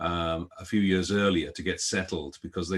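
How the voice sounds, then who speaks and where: A man's very deep, low voice with a slight British accent and fairly even intonation. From London, England (born in Guyana). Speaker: events industry executive. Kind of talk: interview.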